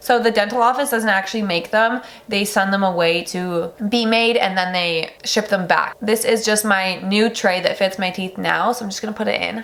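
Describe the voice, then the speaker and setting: A woman talks with hardly any pauses and fairly even intonation. Noticeable background noise runs beneath her voice. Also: medium pitch for a woman, moderate pace. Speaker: beauty and lifestyle vlogger. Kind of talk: casual product review vlog. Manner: chatty, many fillers like 'like'.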